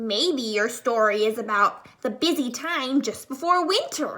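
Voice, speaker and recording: Using a put-on character voice, a woman talks in a high pitch, taking a fairly slow pace. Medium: read story.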